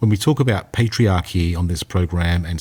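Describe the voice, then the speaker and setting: A man with an Australian accent speaks at a moderate pace in a very deep, low pitch that sounds somewhat breathy. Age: 50s. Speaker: podcast co-host. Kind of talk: casual chat. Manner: animated.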